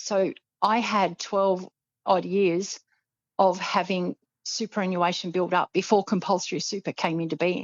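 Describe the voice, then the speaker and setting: In an Australian accent, a woman speaks at a fairly slow pace and medium pitch, keeping her intonation fairly even. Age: 60s. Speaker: financial planner. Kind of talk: podcast interview.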